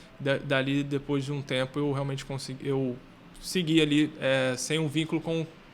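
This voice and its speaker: A man speaks at a fairly high pitch in a monotone, flat delivery. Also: moderate pace. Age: 30s. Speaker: footballer and financial educator. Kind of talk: podcast interview.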